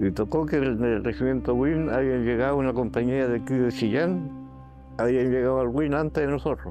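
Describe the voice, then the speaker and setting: Over music in the background, a man talks at a moderate pace with ordinary pitch variation and very even loudness, the sound dry with no echo. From Chile. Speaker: former soldier. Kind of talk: life story interview answer.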